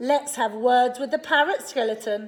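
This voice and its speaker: A moderate pace carries the delivery. It is a put-on character voice. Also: woman. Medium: read story. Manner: bright, eager.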